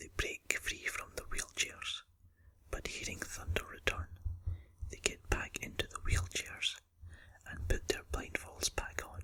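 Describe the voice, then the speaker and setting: A man whispers in a Scottish accent at a fairly slow pace, with long, frequent pauses, big swings in loudness and noticeable background noise. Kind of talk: ASMR film review. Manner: whispered.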